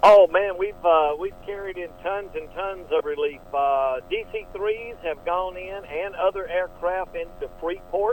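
A high-pitched man with an American accent talks at a fairly slow pace, with ordinary pitch variation and hardly any pauses. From US South, Atlanta, Georgia. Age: 60s. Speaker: pastor and missionary pilot. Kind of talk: radio interview.

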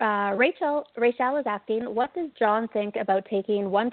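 At a moderate pace, a woman with an unremarkable speaking voice talks in a fairly high pitch with ordinary pitch variation. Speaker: co-host relaying listener questions. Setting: remote call.

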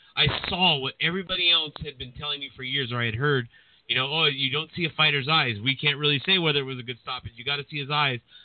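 Over noticeable background noise, a man talks at a very fast pace and fairly high pitch, with fairly even intonation and big swings in loudness. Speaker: boxing podcast host. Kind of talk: casual chat. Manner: casual, talkative.

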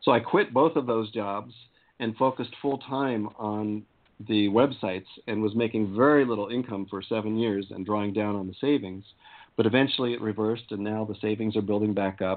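Talking at a fairly quick pace, the man has a fairly low pitch, fairly even intonation and a plain, everyday voice. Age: 50s. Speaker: spiritual activist and tantra teacher. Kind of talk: casual interview.

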